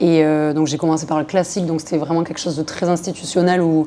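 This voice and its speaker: A woman talks at a very fast pace. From southern France. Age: 20s. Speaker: hip-hop dancer. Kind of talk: podcast interview.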